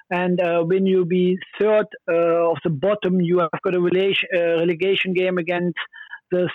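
A man with a German accent talks at a moderate pace in a high pitch, with flat monotone intonation and very even loudness. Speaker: former footballer. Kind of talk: phone interview. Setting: phone call. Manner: halting.

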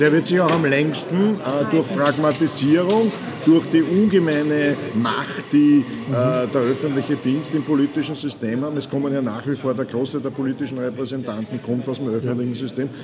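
A man at a moderate pace with ordinary pitch variation, noticeable background noise behind him. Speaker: management consultant and author. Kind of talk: casual chat. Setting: coffee house.

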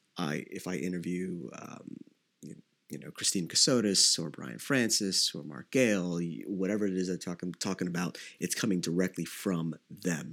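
Speaking at a moderate pace, a man with a very deep, low voice and vocal fry makes big swings in loudness. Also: ordinary pitch variation. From Philippines. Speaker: podcast host and trade publisher. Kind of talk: casual solo Q&A. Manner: casual, with fillers.

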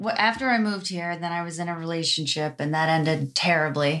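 Here a woman uses a normal speaking voice with a fairly low pitch. Her pace is moderate, and her pitch variation is ordinary. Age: 30s. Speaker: esthetician and business owner. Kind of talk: casual chat.

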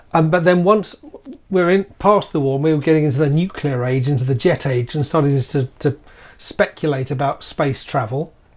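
This man's voice is somewhat breathy and fairly high in pitch. He talks at a moderate pace with ordinary pitch variation. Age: 60s. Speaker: podcast co-host, skeptic. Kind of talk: casual chat.

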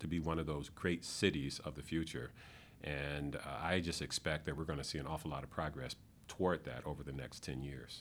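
Speaking in an American accent at a fairly quick pace, the voice keeps fairly even intonation and shows vocal fry. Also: man. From Michigan. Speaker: economic development executive. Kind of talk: interview. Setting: office.

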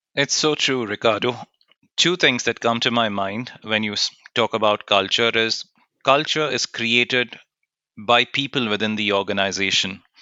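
At a moderate pace, a man with a normal speaking voice talks in a medium pitch with ordinary pitch variation. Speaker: co-host, diversity professional.

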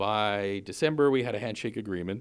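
A man with a fairly low pitch talks at a moderate pace in an ordinary speaking voice. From Newfoundland, Canada. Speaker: sailing school owner. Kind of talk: interview.

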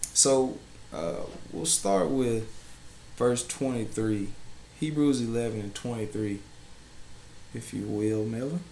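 Long, frequent pauses break up a very slow pace amid audible room echo. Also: man, medium pitch for a man, ordinary pitch variation. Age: 20s. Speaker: minister. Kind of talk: bible teaching.

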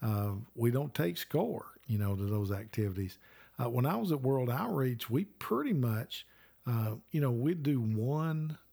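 Speaking with a Southern US accent, a man has a dark, mellow voice at a medium pitch with lively intonation. He keeps a moderate pace on a very clean recording with a silent background. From Alabama. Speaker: children's ministry coach and podcast host. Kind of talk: teaching conversation.

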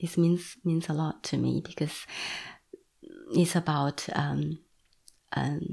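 A woman with a Chinese accent speaks at a fairly slow pace in a very deep, low pitch, her tone dark and mellow with vocal fry. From China. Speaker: visual artist. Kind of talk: interview. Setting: at home. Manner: halting.

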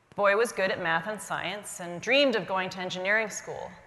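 She speaks in a normal speaking voice at a medium pitch with ordinary pitch variation. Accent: American. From US, Indian American family. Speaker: physician. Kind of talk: keynote talk. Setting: stage with audience.

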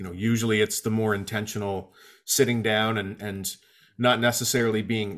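On a very clean recording with a silent background, a man with a plain, everyday voice talks at a fairly quick pace in a medium pitch with fairly even intonation. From Atlantic Canada. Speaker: singer-songwriter and guitar teacher. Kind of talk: casual interview. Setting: home basement.

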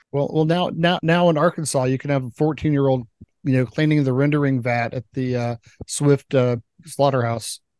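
With an ordinary speaking voice, a man talks at a moderate pace and fairly high pitch, his intonation fairly even, in a dry, close sound with no echo. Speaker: podcast co-host. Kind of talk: casual chat.

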